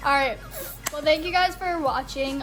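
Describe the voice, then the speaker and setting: A woman with an American accent, music in the background and audible room echo. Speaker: YouTuber. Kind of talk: casual chat.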